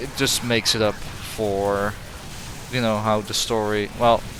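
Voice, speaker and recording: With music in the background, a man takes a fairly slow pace. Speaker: gaming YouTuber. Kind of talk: game review commentary. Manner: halting, many fillers and restarts.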